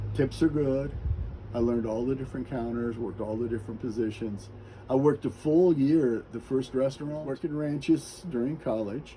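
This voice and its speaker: Ordinary pitch variation from a man with an American accent, his voice somewhat breathy. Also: medium pitch for a man. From US Midwest, Kansas City suburbs. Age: 60s. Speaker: interviewee sharing life story. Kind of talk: interview, personal life story.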